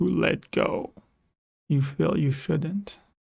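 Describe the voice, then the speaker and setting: A man speaks in a dramatic tone at a very slow pace. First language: French. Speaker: storyteller. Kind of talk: personal storytelling.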